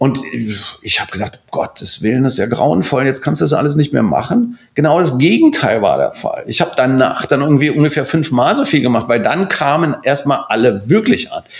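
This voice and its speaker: Over noticeable background noise, a man speaks with hardly any pauses. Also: moderate pace. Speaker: architect. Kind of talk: casual chat. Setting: office.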